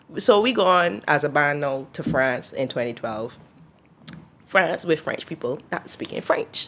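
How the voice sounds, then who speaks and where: With a Barbadian accent, a woman speaks at a fairly slow pace, her very deep, low pitch carried by lively intonation. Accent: Barbadian (Bajan). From Barbados. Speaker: singer. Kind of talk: interview answer.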